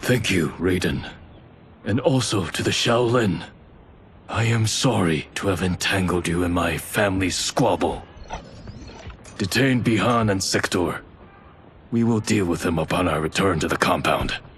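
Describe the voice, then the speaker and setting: A put-on character voice moves at a moderate pace with ordinary pitch variation. Long, frequent pauses break it up over clear background noise. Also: man, very deep, low pitch for a man. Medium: video game. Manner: grave, restrained.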